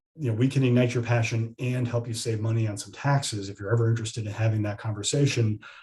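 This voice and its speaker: Somewhat breathy, a man talks at a very fast pace with medium pitch and fairly even intonation. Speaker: estate planning attorney. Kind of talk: webinar presentation and Q&A. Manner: repetitive stammering false starts.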